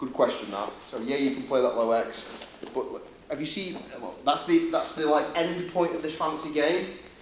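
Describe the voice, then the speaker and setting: A man with a Yorkshire accent and a fairly high pitch, at a moderate pace with ordinary pitch variation, amid noticeable background noise and audible room echo. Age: 30s. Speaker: grappling instructor. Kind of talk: seminar instruction. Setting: gym.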